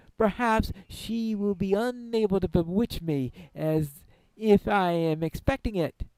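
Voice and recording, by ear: With ordinary pitch variation, someone reads aloud in a natural voice.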